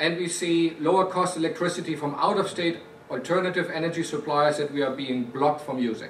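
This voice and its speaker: Over noticeable background noise and audible room echo, a man with a German accent speaks fairly quickly in a fairly high voice with fairly even intonation. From Germany. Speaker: company executive. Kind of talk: prepared speech.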